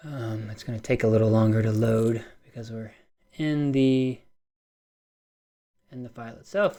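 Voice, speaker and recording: Mumbling at a fairly slow pace, a man speaks at medium pitch with fairly even intonation. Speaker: fitness data analyst presenter. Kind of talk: webinar presentation. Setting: live online webinar.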